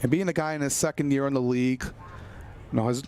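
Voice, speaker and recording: With a normal speaking voice, a man talks at a medium pitch with fairly even intonation. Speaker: baseball color commentator. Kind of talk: baseball color commentary.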